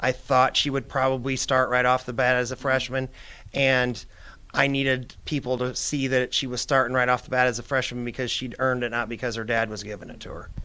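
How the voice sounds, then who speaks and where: A man speaks with a Midwestern American accent at a fairly quick pace, his tone bright and sharp. His intonation stays flat and monotone while his loudness swings widely. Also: medium pitch for a man, very clean recording, silent background. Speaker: retired girls basketball coach. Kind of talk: interview. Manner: fast.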